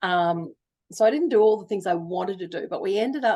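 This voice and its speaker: With an Australian accent, a woman talks at a fairly quick pace in a dark, mellow tone, her pitch varying in an ordinary way. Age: 60s. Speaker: novelist. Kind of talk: interview conversation. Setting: video call.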